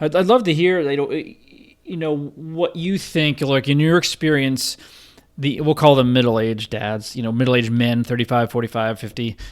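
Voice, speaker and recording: An unremarkable speaking voice, medium in tempo, its pitch rising and falling in an ordinary way. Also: man. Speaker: podcast host. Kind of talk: podcast interview host.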